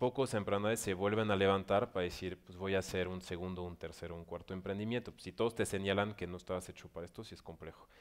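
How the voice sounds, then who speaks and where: Talking at a very fast pace with hardly any pauses, a man keeps a fairly low pitch and fairly even intonation while his loudness swings widely. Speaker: director of an entrepreneurship organization. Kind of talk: panel interview at business forum.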